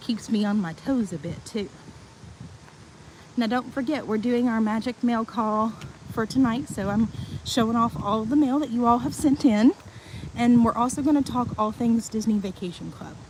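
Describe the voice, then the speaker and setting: Noticeable background noise sits behind a woman with a Tennessee accent and a fairly high pitch. She talks at a moderate pace with ordinary pitch variation and long, frequent pauses. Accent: Southern US (Tennessee). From Tennessee, US South. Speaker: vlogger giving a live resort tour. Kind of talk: live-stream walking tour. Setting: outdoors, walking around a resort.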